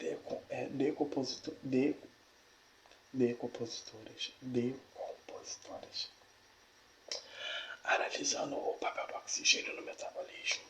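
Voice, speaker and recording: Through noticeable background noise, the speech moves at a fairly slow pace with long, frequent pauses. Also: man. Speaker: ASMR creator reading a biology text aloud. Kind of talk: ASMR educational reading. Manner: soft-spoken, whispering, stumbling over difficult words.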